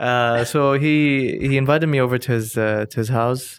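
This voice carries an Arabic accent and fairly even intonation. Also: man. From Dubai, UAE. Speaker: cultural historian and entrepreneur. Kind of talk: casual interview conversation. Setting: host's home.

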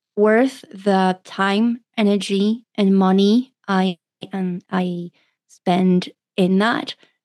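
A woman with a dark, mellow tone speaks at a medium pitch, recorded dry and close with no echo. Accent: French. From France. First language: French. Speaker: doctor and pleasure coach. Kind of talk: interview.

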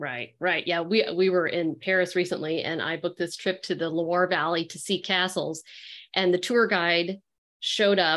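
In a very clean recording with a silent background, a woman with an ordinary speaking voice talks at a moderate pace, her pitch fairly low and her intonation fairly even. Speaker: podcast host. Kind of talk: casual interview chat.

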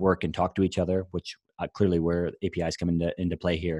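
A Midwestern American accent in a very clean recording, silent in the background, with a dry, close sound and no echo. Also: man. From US Midwest, Iowa. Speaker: agency general manager, designer. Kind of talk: casual interview. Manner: halting, many fillers and repetitions.

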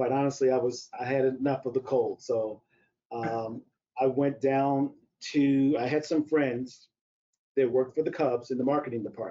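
At a moderate pace, a man talks in an unremarkable speaking voice of medium pitch. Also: fairly even intonation. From US Midwest, St. Louis, Missouri. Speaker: strength and conditioning coach. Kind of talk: interview about teaching. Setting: live webcast.

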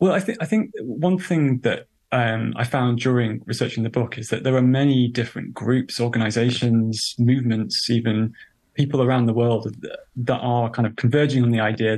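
Speaking with a British accent, a man talks at medium pitch and a moderate pace. His intonation is fairly even, and the background is quiet. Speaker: journalist and author. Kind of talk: interview.

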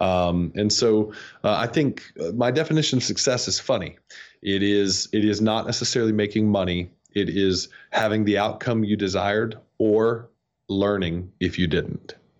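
A man's plain, everyday voice with an American accent, fairly low in pitch, ordinary in pitch variation, moderate in pace and very even in loudness. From US South (North Georgia). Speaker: SEO agency CEO. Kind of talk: interview.

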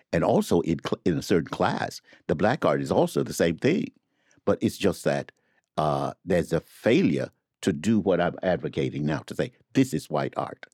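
With an American accent, a man speaks at a moderate pace in a very deep, low pitch with vocal fry and lively intonation, in a dry, close sound with no echo. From US South. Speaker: literary editor and academic. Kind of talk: casual chat.

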